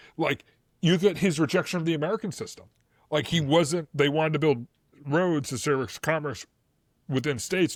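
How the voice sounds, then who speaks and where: A man speaks at a fairly high pitch with a Boston accent and ordinary pitch variation, at a fairly quick pace. The sound is dry and close with no echo, on a very clean recording with a silent background. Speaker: history podcast co-host. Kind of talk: casual chat. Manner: loud, animated; fast, filler-heavy.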